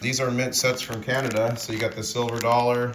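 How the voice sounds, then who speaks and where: A man's medium-pitched voice at a moderate pace, over noticeable background noise. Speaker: precious metals YouTuber and stacker. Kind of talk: casual talk to camera, interview host.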